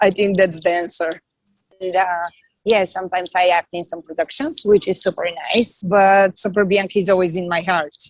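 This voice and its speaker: A woman's medium-pitched voice with a Bulgarian accent, moderate pace and fairly even intonation, dry and close with no echo. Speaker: comedian and actress. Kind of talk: podcast interview.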